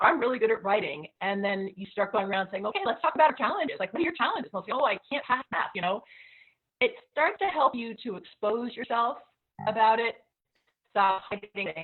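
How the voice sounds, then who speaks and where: Fairly high and lively, a woman's plain, everyday voice rises and falls as she talks. She speaks at a fairly quick pace. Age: 60s. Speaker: teacher and panelist. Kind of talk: panel discussion. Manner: casual, conversational with fillers.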